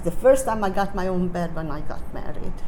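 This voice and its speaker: Noticeable background noise and audible room echo surround the voice. It has ordinary pitch variation and keeps a moderate pace. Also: woman. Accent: Hungarian. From Hungary, Budapest. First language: Hungarian. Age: 80s+. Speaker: Holocaust survivor. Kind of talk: interview testimony to teens. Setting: talk to youth club audience.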